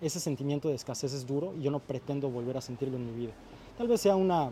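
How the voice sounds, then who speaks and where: With a fairly high pitch and a dark, mellow tone, a man speaks somewhat breathily at a fairly quick pace. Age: 20s. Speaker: YouTube content creator and entrepreneur. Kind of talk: casual chat.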